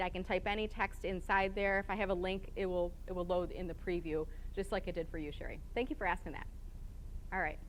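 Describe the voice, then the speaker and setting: Speaking at a fairly quick pace, a woman is heard with audible room echo. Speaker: conference speaker. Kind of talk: conference talk. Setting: stage with live and online audience. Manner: fast.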